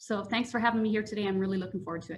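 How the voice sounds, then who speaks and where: Fairly high in pitch, a woman with a Canadian accent speaks with fairly even intonation in a plain, everyday voice. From Canadian Prairies (small-town Manitoba and Saskatchewan). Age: 40s. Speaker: public service trainer. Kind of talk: panel introduction.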